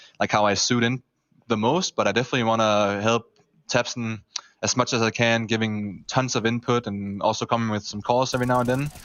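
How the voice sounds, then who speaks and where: Fairly even in intonation and medium in pitch, a man talks at a fairly quick pace. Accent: German. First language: German. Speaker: professional esports player. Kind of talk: post-match interview.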